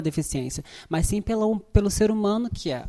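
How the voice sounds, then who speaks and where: With a dark, mellow tone, a woman talks at a fairly quick pace and ordinary pitch variation. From Brazil, favela. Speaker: actress. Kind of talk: interview.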